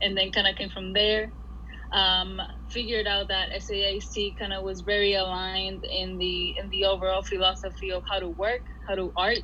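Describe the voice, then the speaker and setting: A woman with a Spanish accent speaks at a moderate pace. There is audible room echo and noticeable background noise. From Puerto Rico. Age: 20s. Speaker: art school graduate. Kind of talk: casual interview. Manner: halting, many fillers and repeats.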